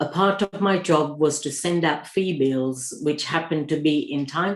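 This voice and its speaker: The background is quiet. A woman speaks at a fairly slow pace with a very deep, low pitch. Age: 60s. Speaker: cancer survivor. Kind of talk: personal testimony.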